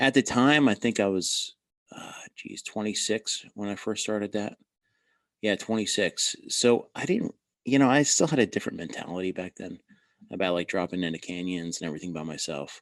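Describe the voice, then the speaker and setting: A man speaks at a fairly low pitch with lively intonation. The sound is dry and close with no echo, and the background is quiet. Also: moderate pace. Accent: New Jersey. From New Jersey. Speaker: former border agent and army officer. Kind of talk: interview. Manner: casual.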